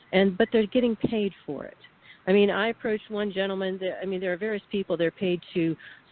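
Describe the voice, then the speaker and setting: Her pitch sits at a medium level and varies in an ordinary way. A woman talks in an ordinary speaking voice. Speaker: whistleblower, radio guest. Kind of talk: radio interview testimony.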